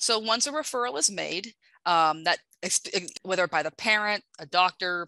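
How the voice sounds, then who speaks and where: A woman speaks at a medium pitch in a bright, sharp tone with lively intonation. The sound is dry and close with no echo, over a quiet background. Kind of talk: webinar presentation.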